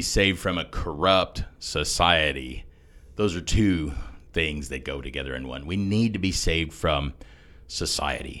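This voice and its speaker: Vocal fry in a male voice pitched very deep and low, delivered at a moderate tempo. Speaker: podcast co-host, former pastor. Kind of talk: discussion of theology, conversational teaching.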